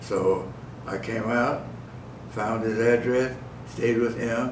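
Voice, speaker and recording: A man speaks at a very slow pace, his medium-pitched voice monotone and flat. Noticeable background noise can be heard. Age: 80s+. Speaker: centenarian and army veteran. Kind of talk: interview answer. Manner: spry, funny.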